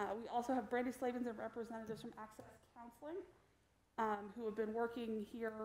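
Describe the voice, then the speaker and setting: A woman talks at a very fast pace with fairly even intonation. Audible room echo and light background noise surround her voice. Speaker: presenter. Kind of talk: meeting presentation.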